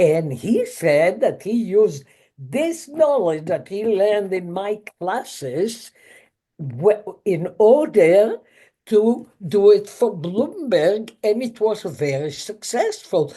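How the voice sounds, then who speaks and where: At a very slow pace, the speaker uses very wide pitch swings and a dark, mellow tone, with a non-native accent. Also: woman, medium pitch for a woman. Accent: foreign accent, noticeable. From Israel. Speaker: chemist and professor. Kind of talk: interview.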